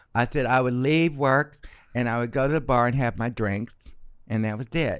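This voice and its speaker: An animated man with an American accent, moderate pace and ordinary pitch variation, on a very clean recording with a silent background. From Arkansas, US South. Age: 60s. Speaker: retired celebrity hairstylist. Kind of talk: casual chat.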